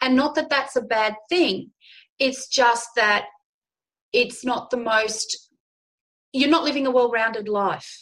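A woman with an Australian accent, high-pitched, very slow, with long and frequent pauses. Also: ordinary pitch variation. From Australia, Darwin (Northern Territory). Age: 40s. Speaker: women's counsellor and show host. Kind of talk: interview conversation.

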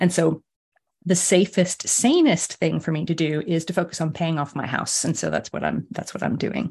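A woman speaks with vocal fry. Her pitch is fairly low, with ordinary variation. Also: moderate pace. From US. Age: 50s. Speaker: sleep coach. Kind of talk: interview chat.

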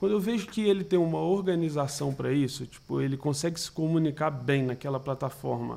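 Dark and mellow in tone, a man talks at a fairly quick pace with hardly any pauses and ordinary pitch variation. The recording is very clean, with a silent background. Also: fairly high pitch for a man. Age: 20s. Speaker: talent manager for digital influencers. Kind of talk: casual interview.

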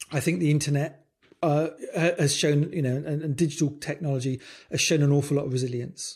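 Speaking with a British accent, a man is somewhat breathy, with a fairly high pitch, a fairly quick pace and monotone, flat intonation on a very clean recording with a silent background. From UK. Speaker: design leadership coach. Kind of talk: casual chat. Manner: halting.

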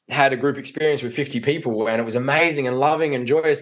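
A man with an Australian accent speaks at a moderate pace and medium pitch, with ordinary pitch variation. The background is quiet. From Australia, Adelaide. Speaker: men's coach. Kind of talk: casual chat.

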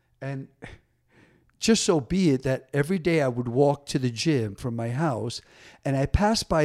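Speaking at a moderate pace with an American accent, a man has a medium pitch, a dark, mellow tone and lively intonation on a very clean recording with a silent background. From New Jersey (Paterson). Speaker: DJ and dancer. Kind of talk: casual interview chat.

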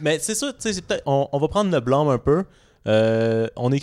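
A fairly high-pitched man with a Quebec accent and lively intonation, moderate pace, dry and close with no echo, on a very clean recording with a silent background. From Montreal, Quebec. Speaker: podcast co-host. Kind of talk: casual chat.

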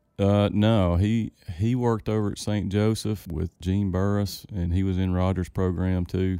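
The delivery is flat and monotone, at a moderate pace, with a Louisiana accent. Loudness stays very even throughout. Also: man, very deep, low pitch for a man. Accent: US Southern (Louisiana). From northeast Louisiana, Winsboro. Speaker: plant pathologist. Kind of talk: casual interview. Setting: studio.

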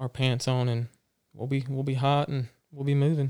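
In a very clean recording with a silent background, a man with a plain, everyday voice speaks at a medium pitch and a moderate pace. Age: 20s. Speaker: former Marine, firefighter. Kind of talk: casual chat.

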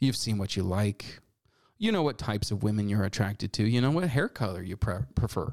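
The tone is animated. The pace is moderate. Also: man. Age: 40s. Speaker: political talk show host. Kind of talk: political commentary monologue.

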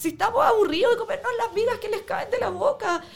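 A woman's voice with very wide pitch swings. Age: 20s. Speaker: protest injury victim. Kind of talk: testimony.

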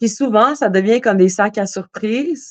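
A woman with an unremarkable speaking voice talks at a fairly high pitch with ordinary pitch variation. Her pace is fairly slow, and the sound is dry and close, with no echo. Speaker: singer-songwriter. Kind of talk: casual interview.

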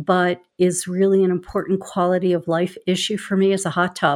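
On a very clean recording with a silent background, a woman of medium pitch speaks at a moderate pace with fairly even intonation. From Philadelphia, US. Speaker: advocacy executive. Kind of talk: casual conversation.

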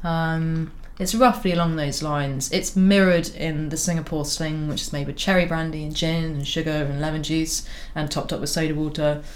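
Over audible room echo, a woman with a very deep, low pitch talks at a fairly quick pace with fairly even intonation. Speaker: tattoo artist and former cocktail bartender. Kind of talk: casual tasting chat.

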